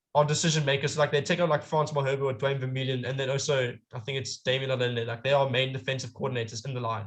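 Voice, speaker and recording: The man's voice is somewhat breathy. He talks very fast. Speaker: amateur rugby pundit. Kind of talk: casual chat. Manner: halting, self-correcting.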